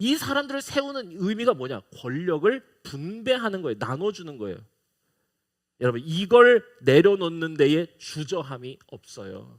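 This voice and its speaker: Speaking at a fairly slow pace, a man with a high pitch lets it swing very widely, with big swings in loudness too. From South Korea, Icheon. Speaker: pastor. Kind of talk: sermon. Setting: church.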